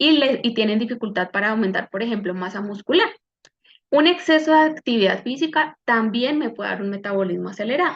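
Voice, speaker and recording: This woman has a normal speaking voice with a fairly high pitch. She talks at a fairly quick pace with lively intonation. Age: 30s. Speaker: medical doctor and wellness coach. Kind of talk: online health workshop talk.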